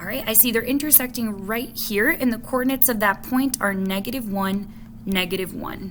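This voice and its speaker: A woman talks at a fairly quick pace and a fairly high pitch with ordinary pitch variation, amid noticeable background noise and audible room echo. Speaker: math teacher. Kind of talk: tutorial. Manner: casual.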